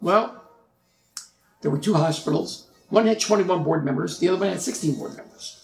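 At a fairly quick pace, a man speaks in a plain, everyday voice with ordinary pitch variation. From Newark, New Jersey. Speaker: retired healthcare executive. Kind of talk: interview.

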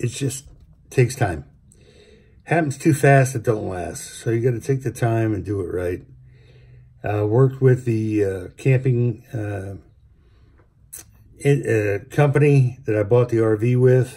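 A somewhat breathy man with a dark, mellow tone and ordinary pitch variation, speaking fairly slowly with long, frequent pauses against a quiet background. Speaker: vlogger. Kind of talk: casual vlog chat. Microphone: phone near.

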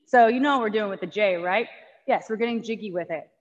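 The setting around her is quiet. She is a woman talking. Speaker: fitness instructor. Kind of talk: tutorial. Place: gym.

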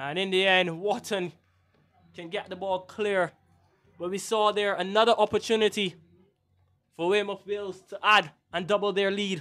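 Pausing long and often, a man with a Barbadian accent speaks at a high pitch in a monotone, flat intonation. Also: moderate pace. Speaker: match commentator. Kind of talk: live sports commentary. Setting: outdoor stadium, commentary position.

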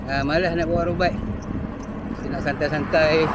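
A man's voice comes through dry with no echo while loud background noise plays. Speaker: cyclist vlogger. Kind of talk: casual vlog chat. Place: bicycle. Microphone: phone near.

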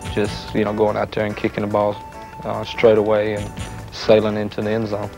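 A man with a fairly low pitch talks at a fairly quick pace. The sound is dry with no echo, and music is clearly audible behind him. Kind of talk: interview answer. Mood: calm, earnest. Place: home room.

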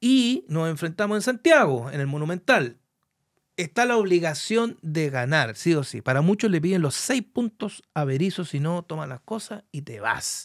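Against a quiet background, a man with a high pitch speaks at a moderate pace with very wide pitch swings. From Chile, Curicó; Chile. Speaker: sports broadcaster and talk show host; talk show host. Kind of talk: sports talk show interview. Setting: studio. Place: studio. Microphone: studio mic.

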